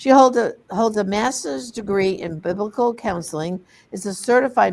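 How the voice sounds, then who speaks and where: A woman with a medium pitch and vocal fry speaks with lively intonation. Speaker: program host and campaign co-founder. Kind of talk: hosting a panel program. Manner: reading an introduction aloud.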